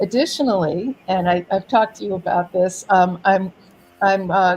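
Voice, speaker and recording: Here a woman has an ordinary speaking voice with medium pitch. She talks at a moderate pace with ordinary pitch variation. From New York City. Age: 60s. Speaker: poet laureate and artist. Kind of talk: interview.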